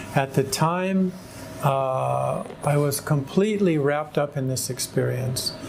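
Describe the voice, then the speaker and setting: Speaking at a fairly slow pace, a man with an American accent has a fairly high pitch and ordinary pitch variation, with noticeable background noise. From California, US. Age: 60s. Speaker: convert to Islam, former seminarian. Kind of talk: personal testimony. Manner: hesitant, with fillers.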